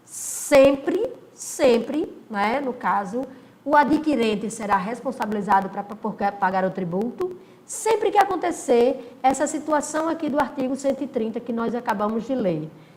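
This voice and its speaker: Amid noticeable background noise and audible room echo, a woman with a high pitch speaks at a fairly slow pace. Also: lively intonation. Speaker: law teacher. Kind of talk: recorded lecture. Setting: recording alone, no live class.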